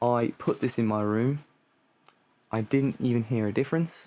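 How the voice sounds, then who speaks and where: This man has a dark, mellow tone and fairly even intonation. He talks at a moderate pace. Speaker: music hobbyist streamer. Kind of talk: casual vlog tutorial. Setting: home studio room. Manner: rambling, many fillers.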